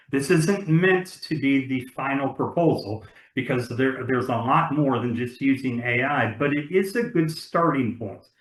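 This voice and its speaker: A man's fairly high, somewhat breathy voice at a moderate pace, with ordinary pitch variation and hardly any pauses. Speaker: webinar panelist presenting software platform. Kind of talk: webinar presentation. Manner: many fillers and repetitions.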